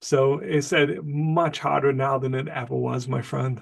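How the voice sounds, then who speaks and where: The speaker is a man. His pitch sits fairly high. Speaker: professor. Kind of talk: interview. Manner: fast.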